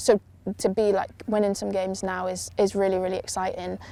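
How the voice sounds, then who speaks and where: A woman speaks quietly at a moderate pace, her pitch in the medium range. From Yorkshire, northern England. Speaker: rugby player. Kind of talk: interview. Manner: quiet, introverted; hesitant, filler-heavy.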